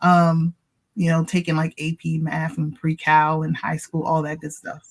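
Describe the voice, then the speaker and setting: With a Baltimore accent, a woman speaks at a fairly slow pace. Her very deep, low voice has a monotone, flat intonation. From US, Baltimore, Maryland. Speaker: tax professional. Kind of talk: interview.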